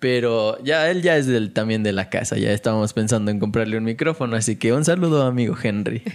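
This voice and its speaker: A plain, everyday voice from a man at medium pitch, fairly quick with hardly any pauses, ordinary pitch variation and very even loudness. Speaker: podcast host. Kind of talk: casual chat.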